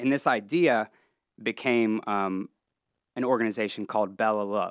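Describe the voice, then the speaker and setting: Here a man speaks at a fairly slow pace in a Midwestern American accent, his pitch medium. The recording is very clean with a silent background, and the sound is dry and close with no echo. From Ohio, near Columbus and Cincinnati. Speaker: entertainment entrepreneur and venue owner. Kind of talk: casual interview.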